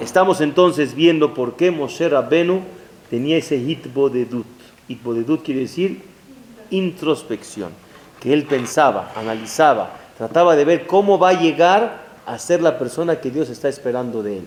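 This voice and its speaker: A man with a fairly high voice and ordinary pitch variation keeps a moderate pace against noticeable background noise. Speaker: rabbi. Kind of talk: lecture. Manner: halting.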